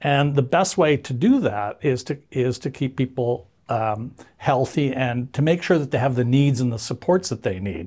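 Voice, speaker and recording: In a very clean recording with a silent background, a man speaks at medium pitch, somewhat breathy, with ordinary pitch variation. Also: moderate pace. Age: 70s. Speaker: association president, seniors advocate. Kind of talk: casual interview conversation. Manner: hesitant, filler-heavy.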